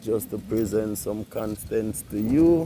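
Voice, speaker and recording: Speaking at a very slow pace, a man has a Jamaican accent. His tone is relaxed. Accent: Jamaican twang, switches to patois. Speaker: vlogger and farm worker. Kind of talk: casual vlog. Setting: outdoors riding a bicycle on a country road. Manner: relaxed, patois-heavy.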